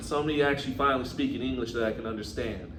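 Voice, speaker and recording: Talking at a very fast pace, a man with a medium-pitched voice is heard over noticeable background noise and audible room echo. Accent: American. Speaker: podcast co-host. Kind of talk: casual chat.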